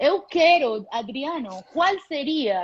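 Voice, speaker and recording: A woman speaks with a Spanish accent and lively intonation. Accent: Spanish accent in Portuguese (portunhol). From Panama. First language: Spanish (speaking Portuguese). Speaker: airline captain. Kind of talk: casual live chat.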